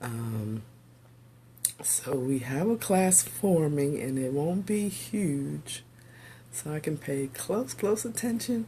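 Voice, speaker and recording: At a very slow pace, a woman speaks in a somewhat breathy voice with a dark, mellow tone and very wide pitch swings. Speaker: pastor and teacher. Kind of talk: casual livestream talk. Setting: home office video stream. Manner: halting with fillers.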